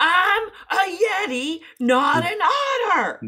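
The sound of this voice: Bellowing in a put-on character voice, a woman speaks at a fairly slow pace with an extremely high pitch.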